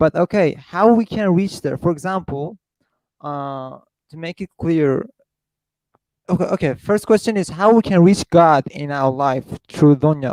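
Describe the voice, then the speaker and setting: A man speaks with a non-native accent in a dry, close sound with no echo. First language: not English. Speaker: caller. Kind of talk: Q&A question. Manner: quiet at first.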